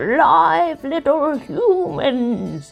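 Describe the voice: A put-on character voice over faint music in the background.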